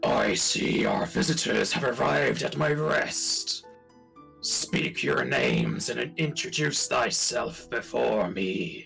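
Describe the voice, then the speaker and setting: A put-on character voice, raspy and gruff, at a fairly slow pace over clear background music. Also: man, medium pitch for a man. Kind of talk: archaic, formal. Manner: terrifying, imposing.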